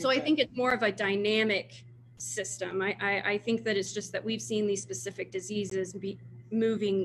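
Vocal fry runs through this moderately paced speech in an American accent, with light background noise behind it. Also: woman. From Texas, Houston. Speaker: wildlife disease researcher. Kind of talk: Q&A after a talk. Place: office. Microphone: video call.

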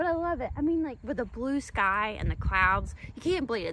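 Over loud background noise, the voice moves at a moderate pace in a dry space with no echo. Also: woman. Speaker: travel vlogger. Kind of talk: casual vlog chat. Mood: cheerful, amused. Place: farm machine. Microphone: phone near.

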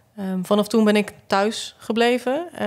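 A woman's voice at a medium pitch comes through over a quiet background. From Flanders (southern Belgium). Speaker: photographer and visual artist; podcast guest. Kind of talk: casual chat. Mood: calm, reflective, grieving topic. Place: studio. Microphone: studio mic.

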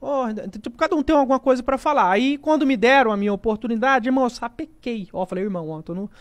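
A man's extremely high voice with lively intonation at a very fast pace. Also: quiet background. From Rondônia, then Minas Gerais, Brazil; Minas Gerais, Brazil. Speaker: gaming YouTuber and comedian; gaming YouTuber, comedian. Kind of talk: casual interview chat. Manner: casual, slangy. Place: studio. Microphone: studio mic.

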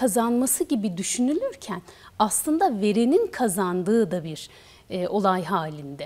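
A woman speaks at a moderate pace. Her fairly high voice makes very wide pitch swings. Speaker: TV show host. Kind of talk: TV interview. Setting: studio. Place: studio. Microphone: lapel.

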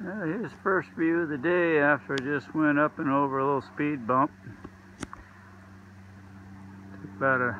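Light background noise runs under speech delivered at a fairly slow pace. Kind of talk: casual vlog chat. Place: forest. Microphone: phone near.

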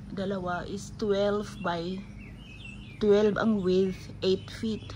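Noticeable background noise fills the recording. A woman speaks over it. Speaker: home vlogger. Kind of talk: casual vlog chat. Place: garage. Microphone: phone near.

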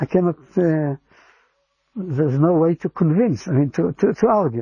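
Speaking at a fairly slow pace, a man with a high pitch and a dark, mellow tone comes through with a dry sound and no echo. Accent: Israeli. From Israel, Givatayim near Tel Aviv. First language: Hebrew. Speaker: interviewee sharing faith story. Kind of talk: personal testimony. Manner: halting, with frequent repetitions.

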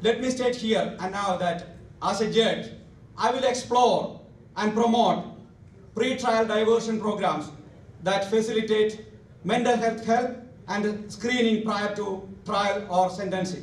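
With audible room echo, a man speaks at a fairly slow pace in a high voice, his intonation fairly even and broken by long, frequent pauses. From India. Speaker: lawyer and judicial candidate; lawyer, candidate. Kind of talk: campaign speech. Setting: hall with audience. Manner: reading prepared speech. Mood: formal, earnest. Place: hall.

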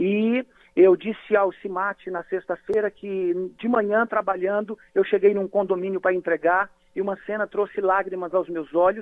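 Speech moves at a moderate pace with monotone, flat intonation. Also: man, high pitch for a man. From Brazil, Bahia (Vitória da Conquista). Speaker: pastor. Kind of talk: radio interview.

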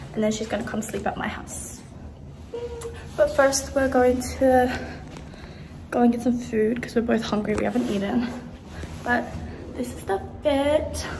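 A woman speaks at a moderate pace in a high pitch with fairly even intonation, leaving long, frequent pauses. Noticeable background noise can be heard. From Australia. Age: 20s. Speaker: university psychology student. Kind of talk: casual vlog talk to camera. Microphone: phone near.

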